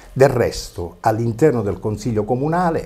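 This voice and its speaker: Very wide pitch swings mark a man's dark, mellow tone, which carries vocal fry. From Basilicata, Italy. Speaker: opposition town councillor, former regional councillor. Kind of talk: TV interview. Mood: indignant, polemical. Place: studio. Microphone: lapel.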